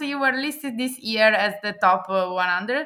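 Over a silent background in a very clean recording, a woman with an Italian accent speaks in a bright, sharp tone with lively intonation. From Italy. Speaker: AI ethics expert. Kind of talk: interview. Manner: hesitant, many fillers.

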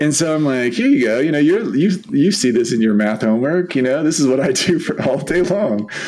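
With an American accent, a man speaks at fairly high pitch and a fairly quick pace, his intonation lively and loudness very even, with hardly any pauses, audible room echo, and noticeable background noise. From San Diego, California. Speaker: podcast co-host. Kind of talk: casual chat.

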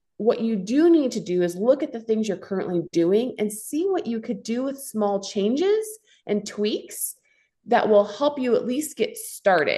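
This woman's voice is fairly high in pitch, somewhat breathy, and dark and mellow in tone. Her pitch swings very widely as she speaks at a fairly slow pace. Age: 40s. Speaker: fitness coach and entrepreneur. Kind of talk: casual chat.

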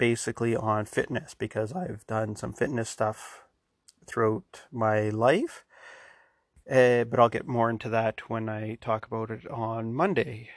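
A man at a medium pitch and a fairly slow pace, fairly even in intonation, over a quiet background. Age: 40s. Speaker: podcast host. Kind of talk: solo podcast intro. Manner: monotone; rambling, informal.

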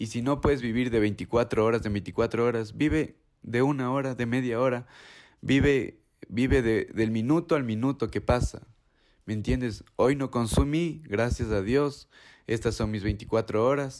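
An unremarkable speaking voice at a fairly slow pace, with ordinary pitch variation, in a very clean recording against a silent background. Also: man, medium pitch for a man. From Ecuador. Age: 20s. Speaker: recovering addict. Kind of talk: personal testimony.

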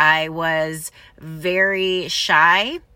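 On a very clean recording with a silent background, a woman speaks in a bright, sharp tone at a fairly low pitch. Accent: Midwestern American. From Michigan, US Midwest. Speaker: podcast host. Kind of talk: personal monologue. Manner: casual.

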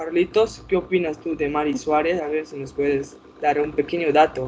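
A man speaks at a moderate pace with a fairly high pitch. Noticeable background noise runs underneath. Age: 20s. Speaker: podcast host of online survivor game. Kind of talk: casual chat.

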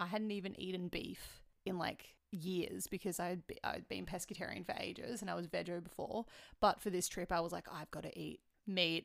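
With an Australian accent, a woman speaks at a moderate pace in a fairly low pitch. Her intonation is monotone and flat, with vocal fry. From Melbourne, Australia. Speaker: podcast host. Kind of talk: casual chat.

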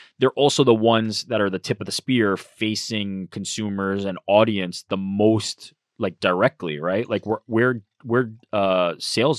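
A man's normal speaking voice, fairly low in pitch with ordinary pitch variation, at a fairly slow pace, dry and close with no echo. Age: 30s. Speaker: social media manager. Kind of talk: casual chat. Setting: studio.

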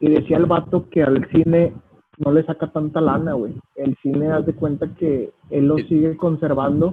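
A man speaks with a Mexican accent. His intonation is monotone and flat. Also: fairly high pitch for a man, moderate pace. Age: 20s. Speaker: youtuber and entrepreneur. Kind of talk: casual chat.

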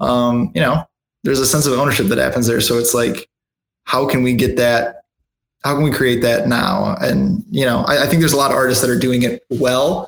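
A man with an American accent has an unremarkable speaking voice at a medium pitch with ordinary pitch variation. He talks at a fairly quick pace and very even loudness. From Michigan. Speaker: rock band guitarist. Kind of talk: casual interview chat.

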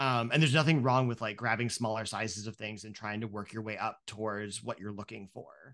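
Against a quiet background, an unremarkable speaking voice with an American accent moves at a fairly quick pace with hardly any pauses, fairly even intonation and big swings in loudness. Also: man, fairly low pitch for a man. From rural Ohio. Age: 30s. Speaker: podcaster. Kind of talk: casual chat.

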